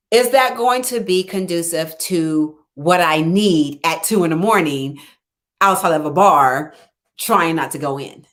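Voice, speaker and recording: A woman speaks in a plain, everyday voice. Her pitch is fairly low and her pace fairly slow. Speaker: life coach. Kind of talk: live stream talk.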